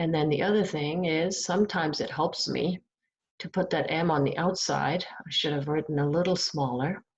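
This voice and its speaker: A soft-spoken, somewhat breathy woman with fairly low pitch, fairly even intonation and a moderate pace. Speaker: math teacher. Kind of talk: recorded lecture. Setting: at home. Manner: halting.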